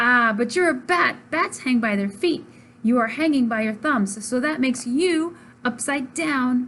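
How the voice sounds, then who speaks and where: A woman performs a put-on character voice. It is loud and high-pitched. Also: moderate pace. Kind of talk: bedtime story. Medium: read story. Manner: blunt, matter-of-fact.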